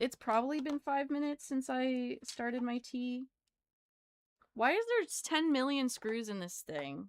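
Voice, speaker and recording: Loud and slowish, a woman speaks at a high pitch with ordinary pitch variation in a dry, close recording with no echo. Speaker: livestreamer. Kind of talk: casual chat.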